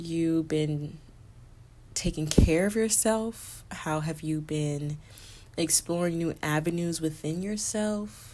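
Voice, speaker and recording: The delivery moves at a very slow pace with fairly even intonation. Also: woman. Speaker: podcast host. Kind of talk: casual solo podcast monologue. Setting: recording late at night. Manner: talking low.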